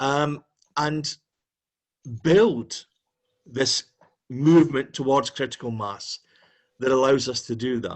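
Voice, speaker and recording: A man with a Dundee accent, very slow pace, long and frequent pauses, and ordinary pitch variation. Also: medium pitch for a man. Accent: Scottish (Dundee). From Scotland, Dundee. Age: 60s. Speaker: campaigner. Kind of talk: video call discussion. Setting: video call.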